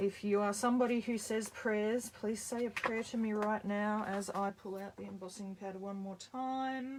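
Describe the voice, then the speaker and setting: Fairly high-pitched woman at a moderate pace with hardly any pauses, against noticeable background noise. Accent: Australian. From Australia. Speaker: card-making instructor. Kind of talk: live tutorial. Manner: loud; animated.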